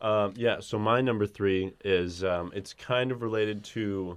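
The man's voice sits at a fairly low pitch. He talks at a fairly slow pace with fairly even intonation. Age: 30s. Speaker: podcast co-host. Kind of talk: casual chat.

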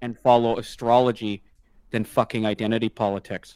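An unremarkable speaking voice from a man with a Canadian accent, medium in pitch and moderate in pace, in a very clean, dry, close recording with no echo and a silent background. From Canada. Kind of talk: casual chat.

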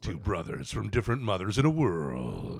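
Putting on a character voice, a man speaks at a moderate pace with a very deep, low pitch that swings very widely. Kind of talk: dramatic trailer narration.

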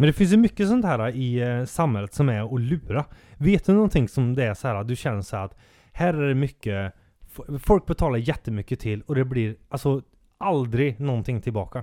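This man talks at a moderate pace with lively intonation and a dark, mellow tone at medium pitch. The recording is very clean and dry, close-miked with no echo and a silent background. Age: 30s. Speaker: podcast co-host. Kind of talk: casual chat.

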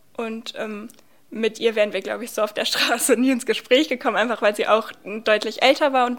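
Her intonation is monotone and flat. This woman's pitch sits fairly high, and her pace is moderate. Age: 20s. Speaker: student and youth centre volunteer. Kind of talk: interview.

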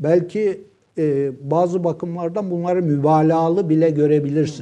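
A man with a high pitch speaks at a moderate pace with fairly even intonation. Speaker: professor. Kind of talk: casual chat.

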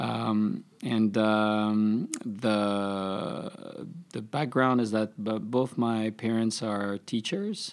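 Heard on a very clean recording with a silent background, a man talks at a fairly low pitch. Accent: French. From France, Paris. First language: French. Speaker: tech startup CEO. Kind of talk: interview.

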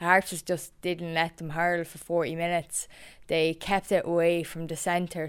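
In an Irish Midlands accent, a woman with a fairly low voice speaks in a monotone, flat intonation, recorded very cleanly with a silent background. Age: 20s. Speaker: camogie player and reporter. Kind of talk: casual chat.

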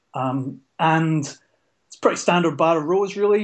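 A man speaks in a Scottish accent at a fairly high pitch with fairly even intonation. The background is quiet. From Scotland. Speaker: card game player. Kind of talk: casual chat.

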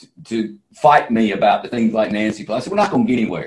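With an American accent, a man speaks at a very fast pace in a somewhat breathy voice, his pitch swinging very widely. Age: 60s. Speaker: entrepreneur and political candidate. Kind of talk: interview.

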